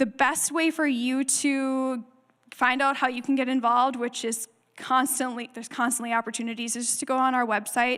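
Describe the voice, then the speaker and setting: A woman speaks in a high pitch. Her intonation is monotone and flat. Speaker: refugee ministry staff speaker. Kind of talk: church presentation with Q&A. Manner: fast.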